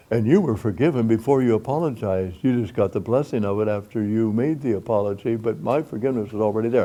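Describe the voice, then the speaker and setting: Speech runs very fast with hardly any pauses. The tone is dark and mellow, with ordinary pitch variation. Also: man, medium pitch for a man. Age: 80s+. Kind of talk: speech to an audience.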